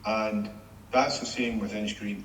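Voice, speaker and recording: A man's medium-pitched voice, fairly even in intonation, comes with audible room echo and noticeable background noise. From Scotland, Greenock. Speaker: former shipbuilding executive. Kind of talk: interview. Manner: hesitant, repeats words.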